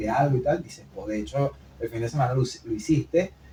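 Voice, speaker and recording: Against noticeable background noise, a man talks at a fairly quick pace in a medium pitch with lively intonation. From Venezuela, Maracay. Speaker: podcast co-host. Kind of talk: casual chat. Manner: fast.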